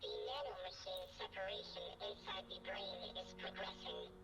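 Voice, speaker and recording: This is a put-on character voice. Loud background noise runs behind it. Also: moderate pace. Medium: machinima. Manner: terse, clinical.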